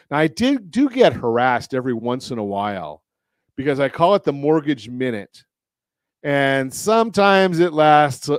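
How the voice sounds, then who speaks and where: A man with an American accent speaks in an ordinary speaking voice at a fairly high pitch for a man. His pace is moderate and his intonation lively. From Southern California. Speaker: radio show host, mortgage lender and consumer advocate. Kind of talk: radio talk show host.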